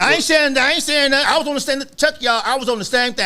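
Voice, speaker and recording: A man's raised, projected voice at a very fast pace. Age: 60s. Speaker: author and political commentator. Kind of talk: casual chat. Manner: animated.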